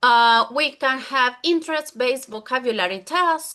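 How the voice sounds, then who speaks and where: A woman's bright, sharp voice in a Spanish accent, fairly slow, with lively intonation and a quiet background. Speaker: English teacher. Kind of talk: conference presentation.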